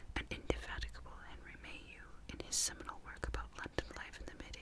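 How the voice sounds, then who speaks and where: Whispering, a woman speaks at a fairly quick pace. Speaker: ASMR narrator. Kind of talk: ASMR history reading. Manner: whispered, soft-spoken. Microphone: studio mic.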